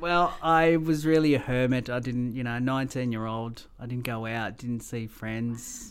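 Moderate-paced speech in an Australian accent, with ordinary pitch variation and hardly any pauses. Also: man, medium pitch for a man. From Mauritius, then Melbourne from age ten. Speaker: pilot. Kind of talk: interview.

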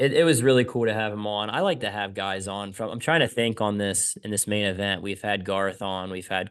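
Against a quiet background, a man with a Pennsylvania accent speaks at a moderate pace with ordinary pitch variation. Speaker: motorcycle racer and podcast host. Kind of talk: casual chat.

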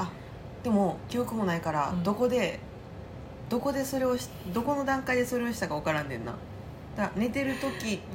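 A woman with a fairly high pitch and lively intonation at a fairly quick pace, broken by long, frequent pauses, amid noticeable background noise and audible room echo. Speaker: podcast co-host. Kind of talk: casual chat.

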